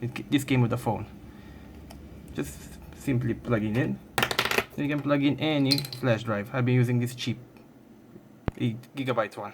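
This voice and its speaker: Noticeable background noise runs under a speaker with a non-native accent. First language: not English. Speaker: tech YouTuber. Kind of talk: tutorial. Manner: halting.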